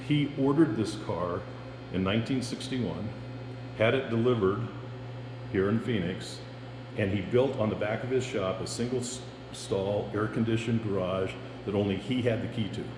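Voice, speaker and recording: With long, frequent pauses and ordinary pitch variation, the speech moves at a moderate pace amid noticeable background noise and audible room echo. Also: man, medium pitch for a man. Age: 70s. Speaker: car collector. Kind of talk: casual chat. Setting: basement car showroom at home.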